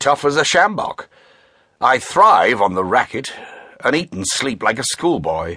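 Over a quiet background, a man with a medium pitch talks at a fairly slow pace with long, frequent pauses, vocal fry, very wide pitch swings, and a bright, sharp, dramatic tone. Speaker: audiobook narrator. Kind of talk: dramatic audiobook narration with character voices. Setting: studio. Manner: dramatic, measured, shifting between characters; formal, clipped British delivery.

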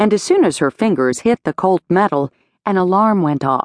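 An unremarkable speaking voice from a woman, medium in pitch, with a dry, close sound, no echo and a quiet background. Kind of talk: audiobook dramatic narration of a romance novel, third person with character dialogue.

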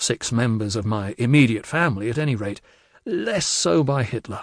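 At a moderate tempo, a man talks in an ordinary speaking voice with lively intonation. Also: dry, close sound with no echo, quiet background. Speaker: audiobook narrator. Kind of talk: audiobook narration of a memoir. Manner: measured, storytelling pace.

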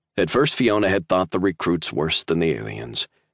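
Against a quiet background, a man with a very deep, low pitch and vocal fry speaks with ordinary pitch variation, the sound dry and close with no echo. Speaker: audiobook narrator. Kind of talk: dramatic audiobook narration of sci-fi military fiction. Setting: studio recording. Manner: tense, suspenseful, building dread, with urgent bursts in the flashback.

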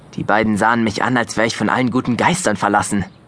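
Fast pace, fairly even intonation and a fairly bright tone. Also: man, fairly low pitch for a man.

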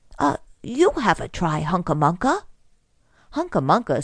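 A woman's gentle tone with very wide pitch swings at a fairly slow pace, against a quiet background. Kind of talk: children's audiobook reading, scripted storybook narration. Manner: gentle, storytelling pace with clear, measured delivery.

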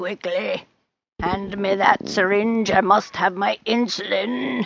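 A woman uses a put-on character voice that is raspy and croaky, at a medium pitch. She talks at a fairly slow pace with ordinary pitch variation. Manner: urgent, demanding.

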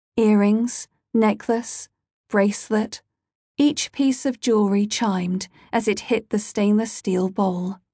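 With a menacing tone, a woman speaks at a very slow pace and a fairly high pitch, her voice dark, mellow and somewhat breathy, her intonation fairly even, and the sound dry and close with no echo against a quiet background. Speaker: audiobook narrator. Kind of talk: dramatic audiobook narration of a dark crime thriller, read aloud. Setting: studio. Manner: hushed, slow, menacing, measured, with eerie deliberate pacing.

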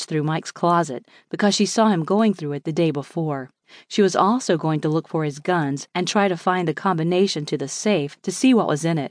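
This woman has an unremarkable speaking voice, fairly low in pitch, with lively intonation. She talks at a fairly quick pace against a quiet background. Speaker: audiobook narrator. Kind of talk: audiobook narration, first-person memoir reading. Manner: measured, steady, tense storytelling.

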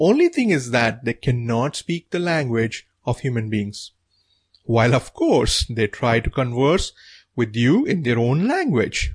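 A man with an Indian accent speaks at a fairly slow pace, somewhat breathy, with ordinary pitch variation, in a dry, close sound with no echo and a quiet background. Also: medium pitch for a man. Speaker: author narrating own audiobook. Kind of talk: audiobook narration.

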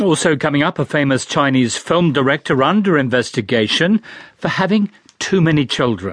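This is a plain, everyday voice at a moderate pace, with lively intonation and very even loudness. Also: man, fairly high pitch for a man, dry, close sound with no echo. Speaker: radio news presenter. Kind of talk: news reading. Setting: studio. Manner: formal, measured; crisp, steady broadcast delivery.

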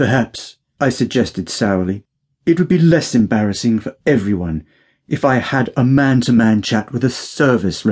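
In an unforced reading voice with lively intonation, the speaker reads over a quiet background.

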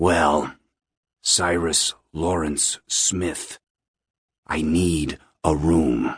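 A man puts on a character voice at an extremely low pitch, with a slightly husky edge and fairly even intonation. He speaks at a very slow pace on a very clean recording with a silent background.

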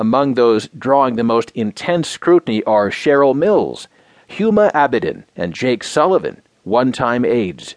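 A man speaks at a medium pitch and a fairly slow pace with lively intonation in a plain, everyday voice, recorded dry and close with no echo. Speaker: news narrator. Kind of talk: news reading. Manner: formal; measured, steady.

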